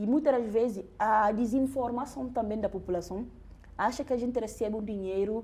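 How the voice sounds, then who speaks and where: Fairly high, somewhat breathy female voice of dark, mellow tone, at a moderate speed with ordinary pitch variation. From Guinea-Bissau. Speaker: doctoral researcher. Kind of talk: interview conversation, personal testimony. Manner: halting, with repetitions and restarts.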